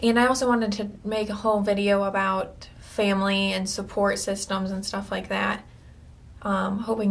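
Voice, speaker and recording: Somewhat breathy woman's voice at medium pitch and a moderate pace. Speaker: video blogger with cancer. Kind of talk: personal video diary. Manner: hesitant, many fillers.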